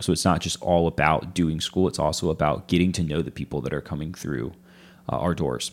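A man with a very deep, low voice speaks fairly quickly. His intonation is fairly even, with vocal fry. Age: 20s. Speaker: church family pastor. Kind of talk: casual interview chat.

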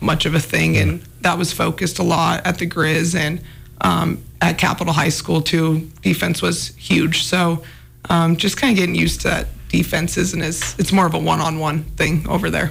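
A woman speaks at a very even loudness. Background noise is noticeable. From Anaconda, Montana. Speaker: former college basketball player, pro overseas. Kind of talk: casual interview.

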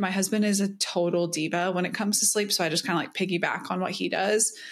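Heard in a very clean recording with a silent background, a woman with an American accent talks at a medium pitch in an ordinary speaking voice. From US South. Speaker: podcast co-host. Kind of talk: casual chat.

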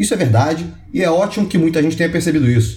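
Talking at a very fast pace with lively intonation, a man is heard with audible room echo and noticeable background noise. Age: 30s. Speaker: lawyer and venture capital investor. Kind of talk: online course lecture.

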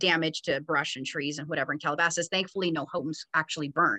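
Talking at a very fast pace in a Californian accent, a woman with a fairly low pitch and a bright, sharp tone is heard against a quiet background in a dry, close sound with no echo. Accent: Californian American. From Los Angeles. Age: 40s. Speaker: TV news producer. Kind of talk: interview.

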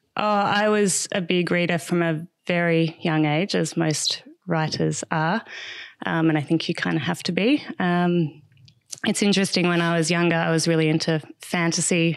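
Someone with an Australian accent speaks at a moderate pace over a quiet background, keeping very even loudness and ordinary pitch variation. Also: woman. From Australia, Melbourne. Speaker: writer and content strategist. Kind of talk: casual interview. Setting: at her home.

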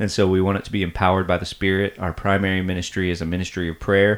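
This man talks very fast in a very deep, low pitch with monotone, flat intonation. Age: 40s. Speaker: church podcast host, pastor. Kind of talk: casual chat about faith and counseling.

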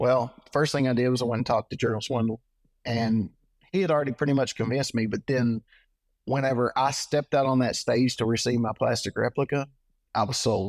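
Speaking at a fairly quick pace with a Texan accent, a man keeps his loudness very even on a very clean recording with a silent background and a dry, close sound with no echo. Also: medium pitch for a man, fairly even intonation. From Texas (Trinidad). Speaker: tournament bass angler. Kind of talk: casual interview.

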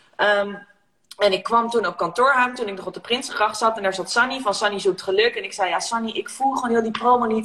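Using a plain, everyday voice, a woman talks at a fairly quick pace, her fairly high pitch showing ordinary variation. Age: 30s. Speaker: negotiation coach and entrepreneur. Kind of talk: casual chat. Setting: Instagram live video.

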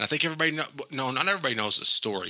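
Speaking at a very fast pace, a man sounds animated, with ordinary pitch variation. There is noticeable background noise. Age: 40s. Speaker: podcast host. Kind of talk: casual chat.

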